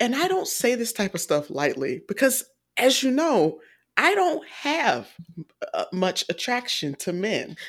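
A very clean recording with a silent background and an American accent. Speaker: film review podcast co-host. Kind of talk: casual chat. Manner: enunciates carefully; laughs often.

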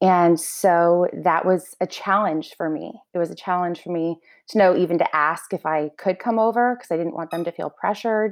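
A woman uses a normal speaking voice at a fairly low pitch and moderate pace, with ordinary pitch variation and hardly any pauses. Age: 30s. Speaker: house manager. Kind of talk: casual interview.

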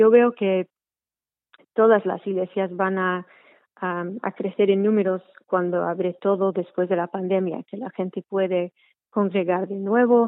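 A woman speaks in a monotone, flat intonation at a medium pitch and a fairly slow pace. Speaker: trainee priest in church. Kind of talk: casual interview. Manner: halting.

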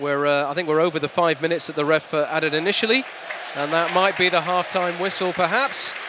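Crowd noise fills the background as a man talks at a very fast pace. His pitch is high, with ordinary variation. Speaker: hospital radio football commentator. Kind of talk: live play-by-play football commentary, reacting to fouls and cards as they happen. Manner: excitable and quickening on big moments, emphatic on cards and saves; conversational with frequent fillers and repeated words.

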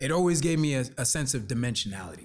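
A man is speaking. His voice is somewhat breathy. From New Jersey, born in the Bronx. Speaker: brand consultant. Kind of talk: casual interview. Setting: in the Bronx, traffic audible. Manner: halting, many repetitions.

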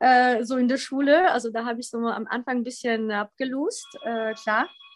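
Her speech comes slowly and high-pitched, in a Polish accent, with ordinary pitch variation. The woman's sound is dry and close, with no echo. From Poland (Wrocław), in Germany from age 11. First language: Polish (speaking German). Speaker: former Olympic fencer. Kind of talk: podcast interview. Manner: hesitant, many fillers.

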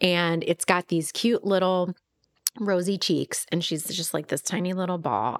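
A woman's normal speaking voice, fairly low in pitch, with ordinary pitch variation, a moderate pace, and a dry, close sound with no echo. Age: 40s. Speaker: podcast co-host, small business owner. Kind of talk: casual chat.

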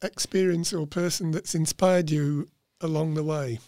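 The man's voice sits high in pitch with a dark, mellow tone. The sound is dry and close, with no echo. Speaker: podcast host. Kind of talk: interview. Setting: studio.

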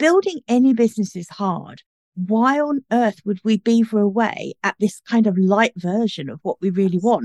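A woman with a British accent speaks at a moderate pace in a fairly high pitch. Her pitch variation is ordinary, and the sound is dry and close with no echo. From UK. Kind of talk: casual interview.

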